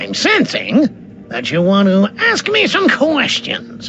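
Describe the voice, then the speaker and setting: A cartoonish character voice goes along at a fairly slow pace with clear background noise. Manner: mopey, anxious.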